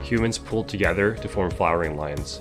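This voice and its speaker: Over music in the background, a man talks at a moderate pace in a very deep, low pitch with very wide pitch swings. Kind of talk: video game history narration.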